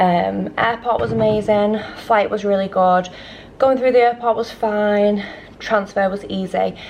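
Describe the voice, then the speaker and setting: A woman with a British accent speaks at a medium pitch over noticeable background noise. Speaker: travel vlogger. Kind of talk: casual vlog talk to camera. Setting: hotel room and resort, handheld camera. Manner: rambling, animated.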